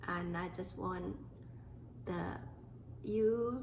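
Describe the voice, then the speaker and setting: A woman with a Thai accent, audible room echo around her voice. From Thailand. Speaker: podcast host. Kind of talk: personal storytelling monologue. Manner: halting.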